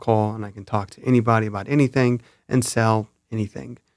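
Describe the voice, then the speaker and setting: A man speaks with a fairly low pitch. His intonation is fairly even. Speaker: cinematographer. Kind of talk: casual chat. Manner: calm, even.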